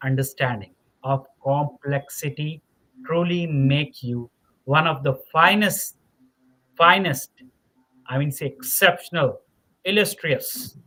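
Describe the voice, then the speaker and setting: With a non-native accent, a man speaks at a very slow pace, leaving long, frequent pauses. His voice is bright and sharp, fairly high in pitch, with ordinary pitch variation. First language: not English. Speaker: podcast host. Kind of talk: interview podcast wrap-up. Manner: halting, many fillers and repetitions.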